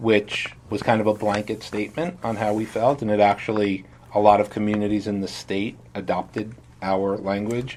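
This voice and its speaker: Speaking with an American accent, a man with a fairly low voice keeps his intonation fairly even. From New York City (Brooklyn). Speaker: village mayor. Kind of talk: interview answers to a child. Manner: fast; casual, filler-heavy.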